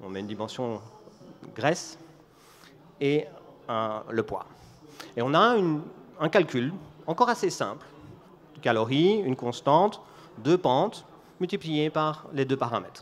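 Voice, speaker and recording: A man with a Belgian accent talks at a moderate pace and fairly high pitch, with very wide pitch swings. His loudness shifts a great deal, and he takes long, frequent pauses. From Belgium. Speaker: business executive giving a conference talk. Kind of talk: conference talk.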